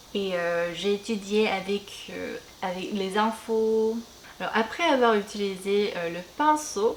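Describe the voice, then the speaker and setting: With a Korean accent, a woman of medium pitch speaks at a very slow pace with ordinary pitch variation. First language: Korean (speaking French). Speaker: beauty and language youtuber. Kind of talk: casual chat while doing makeup. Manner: halting, many hesitations.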